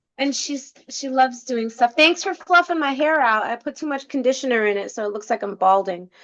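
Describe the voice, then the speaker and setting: A woman in an American accent talks at a fairly quick pace with hardly any pauses, a high pitch and lively intonation. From New York. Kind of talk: casual chat.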